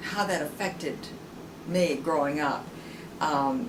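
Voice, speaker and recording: Amid noticeable background noise and audible room echo, a woman with an American accent speaks at a very slow pace, her pitch varying in an ordinary way. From US South, rural Tennessee. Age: 70s. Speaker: interviewee. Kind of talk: oral history interview. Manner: halting, many fillers and repeats.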